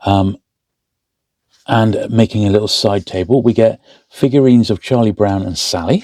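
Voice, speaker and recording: A man's dark, mellow tone at a fairly low pitch, moderate pace, ordinary pitch variation, and long, frequent pauses. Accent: English. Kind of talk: casual hobby build talk to camera. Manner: soft-spoken, relaxed.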